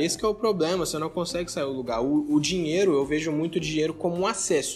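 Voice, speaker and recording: Against noticeable background noise, a man speaks in a high voice. His pace is fairly quick and his intonation lively. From Brazil, Minas Gerais (Belo Horizonte/Contagem). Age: young. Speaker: entrepreneur, investment company founder. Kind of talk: casual interview chat.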